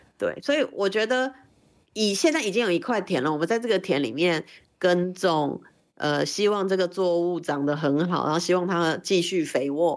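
In a normal speaking voice, a woman with a fairly low pitch speaks at a moderate pace with lively intonation and very even loudness, on a very clean recording with a silent background. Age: 40s. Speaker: LGBTQ rights activist. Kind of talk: interview conversation.

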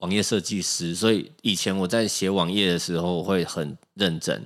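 A man speaks with a Taiwanese accent at a fairly slow pace. The recording is very clean, with a silent background. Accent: Taiwanese Mandarin. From Taiwan, Keelung. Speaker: musician. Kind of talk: casual chat. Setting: studio.

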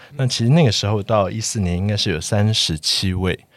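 The speech moves at a moderate pace with ordinary pitch variation, captured on a very clean recording with a silent background. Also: man. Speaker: architect, podcast guest. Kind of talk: casual chat.

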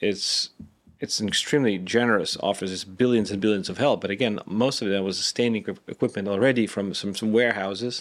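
A man with a Lithuanian accent speaks at a fairly quick pace, his pitch fairly low and his intonation fairly even. The recording is very clean, with a silent background. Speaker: former defense official. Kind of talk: interview.

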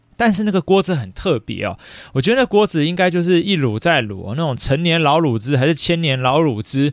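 On a very clean recording with a silent background, a man with a fairly high voice talks at a fairly quick pace with very wide pitch swings. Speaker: podcast host, elementary school teacher. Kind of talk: casual solo chat. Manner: many fillers, chatty.

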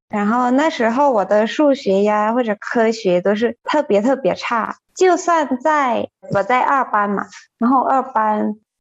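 In a Thai accent, a woman talks at a very slow pace with a fairly high pitch. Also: very even loudness. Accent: Thai-accented Mandarin. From Thailand, Chiang Mai. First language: Thai (speaking Chinese). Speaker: Chinese translator. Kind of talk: casual chat. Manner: laughs often.

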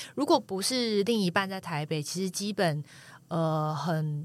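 In a very clean recording with a silent background, a woman with an unremarkable speaking voice talks at a fairly low pitch and a fairly slow pace, with ordinary pitch variation. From Taiwan, coastal Taichung. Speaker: former journalist. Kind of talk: casual chat.

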